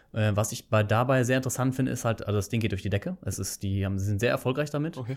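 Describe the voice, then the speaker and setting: On a very clean recording with a silent background, a man talks at a very fast pace with hardly any pauses. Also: medium pitch for a man, ordinary pitch variation. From Germany, Bonn. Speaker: engineer, founder and podcaster. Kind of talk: casual interview. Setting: coworking space.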